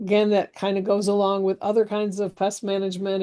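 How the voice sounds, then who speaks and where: Delivered at a fairly quick pace, the speech carries a dark, mellow tone. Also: woman, quiet background. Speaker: extension horticulture educator. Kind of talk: webinar lecture.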